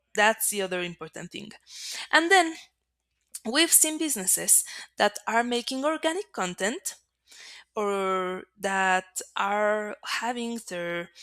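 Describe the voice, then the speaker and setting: A woman with a Spanish accent speaks very slowly with long, frequent pauses in a fairly high, bright, sharp voice. Her pitch swings very widely, and the sound is dry and close with no echo. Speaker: marketing agency presenter. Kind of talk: webinar presentation.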